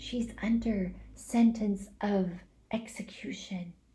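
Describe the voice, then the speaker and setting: Whispering in a put-on character voice, a woman speaks very slowly with a timid tone. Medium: read story. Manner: timid, whispering.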